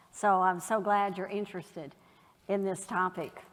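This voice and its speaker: A woman speaks at a fairly slow pace with a Southern US accent. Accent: Southern drawl. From Kentucky, US South. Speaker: election official. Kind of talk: public talk. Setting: in-person event with audience.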